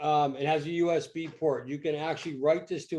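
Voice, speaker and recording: A man talks at a fairly quick pace with a fairly high pitch. He uses an ordinary speaking voice. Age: 60s. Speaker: amateur radio club presenter, power supply builder. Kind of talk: technical demonstration talk. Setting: video call. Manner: casual, conversational.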